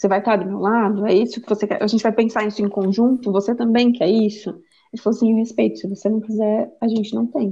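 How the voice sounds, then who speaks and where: Speaking very fast, a woman with a fairly high pitch sounds somewhat breathy, her intonation monotone and flat. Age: 30s. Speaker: mother sharing personal story. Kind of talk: testimony.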